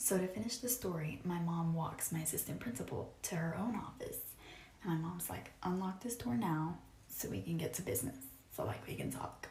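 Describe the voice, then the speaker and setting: A woman's fairly low voice at a fairly quick pace with very wide pitch swings, amid audible room echo and noticeable background noise. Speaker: social media storyteller. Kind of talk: casual storytelling. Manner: quiet.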